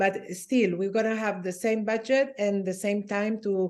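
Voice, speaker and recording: Against a quiet background, a woman speaks at a fairly slow pace. Her pitch is medium. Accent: non-native. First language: not English. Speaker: design lab organizer. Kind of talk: online meeting discussion.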